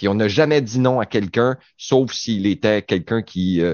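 Lively intonation marks the man's speech, which unfolds at a fairly slow pace. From Quebec, Saguenay-Lac-Saint-Jean. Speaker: radio panelist. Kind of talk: casual chat.

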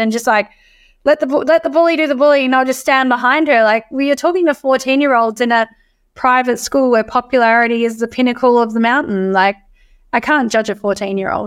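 A high-voiced woman with an Australian accent, fairly quick, with ordinary pitch variation, on a very clean recording with a silent background. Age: 30s. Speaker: emotional wellness coach. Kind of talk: podcast interview.

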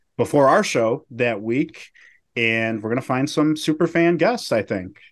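A man with an ordinary speaking voice, medium pitch, ordinary pitch variation and a moderate pace against a quiet background. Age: 30s. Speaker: podcast host and journalist. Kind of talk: casual chat.

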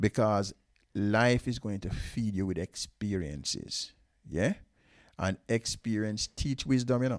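The sound is dry and close, without any echo. A man talks at a fairly slow pace. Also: fairly low pitch for a man, ordinary pitch variation, very clean recording, silent background. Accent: Jamaican. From Jamaica. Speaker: father of the host. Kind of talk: casual chat.

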